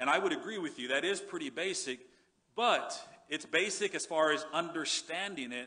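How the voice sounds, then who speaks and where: A man's bright, sharp tone at a moderate pace, ordinary pitch variation, quiet background. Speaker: pastor. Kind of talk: sermon. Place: church. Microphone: headset.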